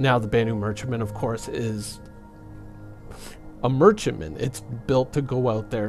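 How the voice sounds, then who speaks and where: Fairly low-pitched male voice with ordinary pitch variation over music in the background. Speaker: gaming commentator. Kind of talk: casual gaming commentary talk.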